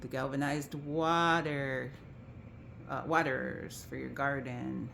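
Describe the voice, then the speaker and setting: A woman speaks very slowly in a very deep, low voice with vocal fry. Room echo is audible. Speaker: estate sale organizer. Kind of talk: video walkthrough of sale items.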